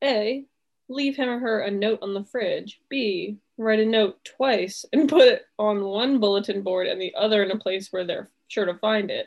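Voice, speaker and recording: The delivery comes at a moderate pace with ordinary pitch variation. It is a normal speaking voice. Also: woman, fairly high pitch for a woman. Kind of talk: casual chat. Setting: video call.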